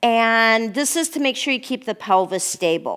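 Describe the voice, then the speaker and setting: Delivered in a normal speaking voice, the speech moves at a fairly slow pace with lively intonation. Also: woman. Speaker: pilates instructor. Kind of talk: guided exercise class. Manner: calm, instructive counting.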